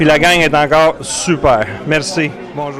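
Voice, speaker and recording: A man speaks at a fairly high pitch against noticeable background noise. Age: 60s. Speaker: school alumnus. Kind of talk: reunion speech. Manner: hesitant.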